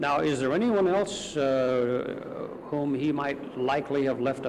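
A man with an unremarkable speaking voice talks at a fairly high pitch. His pitch varies ordinarily over light background noise. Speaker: court news reporter. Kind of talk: news interview questions. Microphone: old recording.

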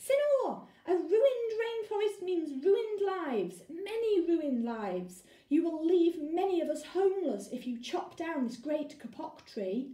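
Putting on a squeaky character voice, a woman speaks at an extremely high pitch and a moderate pace, with slight echo.

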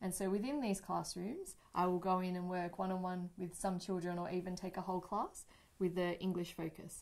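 A woman is speaking. Her pace is fairly quick. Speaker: teacher. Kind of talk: interview answer. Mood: friendly, warm. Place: studio.

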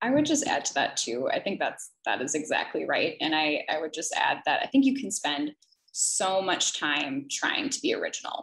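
Against a quiet background, a woman speaks at a moderate pace in an enthusiastic tone. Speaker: college admissions dean. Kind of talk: educational webinar. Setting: video call. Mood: friendly, encouraging. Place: home room. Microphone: webcam.

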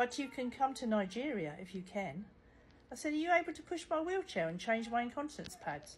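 A woman with a British accent speaks at a fairly quick pace and a high pitch, with very wide pitch swings and big swings in loudness. Light background noise sits behind her. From UK. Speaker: social media content creator. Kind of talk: humorous storytelling, reading out a chat. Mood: wry, joking. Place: home room. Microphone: phone near.

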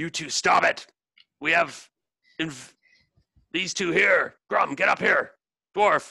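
A man bellows in a raspy, high-pitched put-on character voice at a fairly slow pace. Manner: bellowing.

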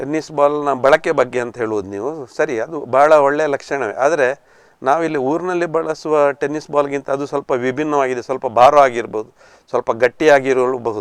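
Pitch varies in an ordinary way against a quiet background. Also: man. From coastal Karnataka (Kinnigoli, Dakshina Kannada). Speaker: retired banker and former cricketer. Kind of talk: interview. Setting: studio.

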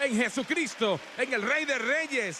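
A man speaks in a raised, projected voice at an extremely high pitch. Background noise is noticeable. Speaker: preacher. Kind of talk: sermon, preacher in full flow, TV evangelism. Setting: church with live congregation and TV broadcast. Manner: fiery, emphatic, pounding rhetorical repetition; confrontational, urgent, calling for response.

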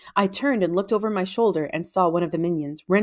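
It is an unforced reading voice. Pitch variation stays ordinary.

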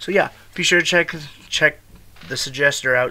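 The man speaks at a moderate pace. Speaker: reaction video host. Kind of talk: casual reaction video intro.

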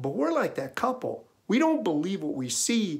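Over a quiet background, a man with a high pitch and a Minnesota accent makes very wide pitch swings. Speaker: essayist. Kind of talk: storytelling monologue. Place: home room. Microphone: webcam.

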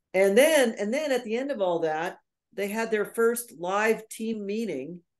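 With a quiet background, a woman speaks at a moderate pace in a fairly high pitch with ordinary pitch variation. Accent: American. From US Northeast (New York). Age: 60s. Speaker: nurse, coach and speaker; interview guest. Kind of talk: interview. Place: home room. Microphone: video call.

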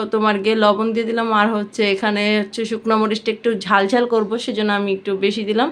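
Her voice fairly high, a woman speaks with monotone, flat intonation. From Bangladesh, Bikrampur (Munshiganj) village. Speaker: cooking vlogger. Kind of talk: cooking tutorial. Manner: casual, chatty.

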